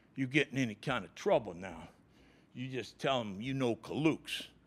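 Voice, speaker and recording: The delivery is animated. Vocal fry runs through it. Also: man. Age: 60s. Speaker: football coach. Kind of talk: press conference. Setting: press conference room.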